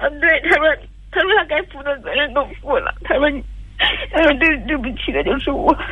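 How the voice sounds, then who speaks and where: Pausing long and often, a woman with a high pitch speaks at a moderate pace over noticeable background noise. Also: lively intonation. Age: 30s. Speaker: caller. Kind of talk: testimony. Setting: phone call. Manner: quiet; halting.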